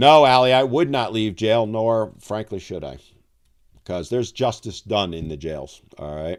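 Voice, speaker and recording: Very wide pitch swings mark this man's medium-pitched voice at a moderate pace. The recording is very clean, with a silent background. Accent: American. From Albany, New York, US. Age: 60s. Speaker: men's issues channel host. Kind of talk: live stream chat. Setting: live stream. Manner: animated.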